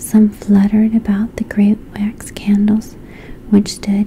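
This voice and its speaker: A soft-spoken whisper comes at a very slow pace over noticeable background noise. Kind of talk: bedtime fairy tale reading. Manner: whispered, soft-spoken.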